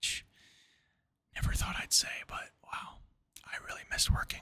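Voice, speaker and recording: Man whispering at a fairly slow pace. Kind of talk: casual talk to camera. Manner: whispered.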